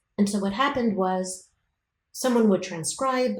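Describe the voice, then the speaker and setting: A woman talks with an American accent. Her voice is somewhat breathy, at a moderate pace. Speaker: professor. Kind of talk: interview.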